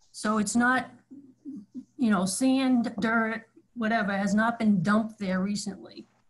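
In a quiet background, the speaker goes fairly slowly with long, frequent pauses, somewhat breathy, with very even loudness and fairly even intonation. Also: woman, fairly high pitch for a woman. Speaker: planning board member. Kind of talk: public meeting. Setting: video call. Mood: polite, concerned. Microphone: video call.

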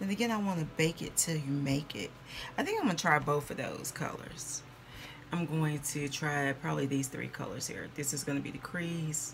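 A woman's very deep, low voice with ordinary pitch variation at a moderate pace, over light background noise. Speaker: beauty vlogger. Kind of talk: casual vlog chat. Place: home room. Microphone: phone near.

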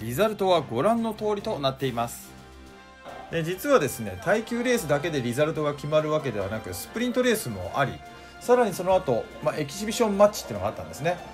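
The speaker races along at a very fast pace with very wide pitch swings and big swings in loudness. Music plays in the background. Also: man, fairly high pitch for a man. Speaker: motorsport announcer and video narrator. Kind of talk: race commentary and video narration.

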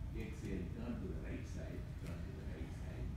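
A man amid loud background noise and audible room echo. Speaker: yoga teacher. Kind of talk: yoga class instruction. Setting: live yoga class in a studio. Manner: very soft-spoken. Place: gym. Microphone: camera far.

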